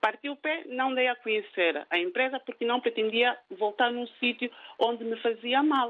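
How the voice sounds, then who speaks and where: A woman at a fairly slow speed, her high voice full of lively intonation. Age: 50s. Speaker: caller, cook. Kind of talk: phone-in story. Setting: phone call.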